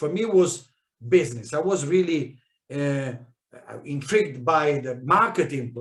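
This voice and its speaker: Somewhat breathy, a man speaks with a fairly high pitch and ordinary pitch variation. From South America, Italian immigrant family. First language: Spanish. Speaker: network marketing leader. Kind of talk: training talk. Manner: halting, many fillers and restarts.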